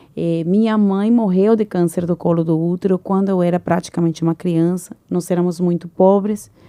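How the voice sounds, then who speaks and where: A woman's dark, mellow tone at a moderate pace, fairly even in intonation, dry and close with no echo. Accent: Venezuelan. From Venezuela. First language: Spanish (speaking Portuguese). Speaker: engineer and entrepreneur. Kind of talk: podcast interview.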